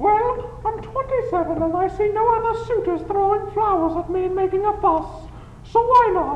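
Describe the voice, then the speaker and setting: Over clear background noise, a woman does a squeaky put-on character voice at an extremely high pitch and a moderate pace. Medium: audio drama.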